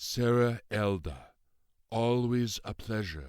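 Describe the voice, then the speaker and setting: In a put-on character voice, the speaker drawls at a very slow pace with ordinary pitch variation. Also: man. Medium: read story. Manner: drawling, carefully enunciated, formal.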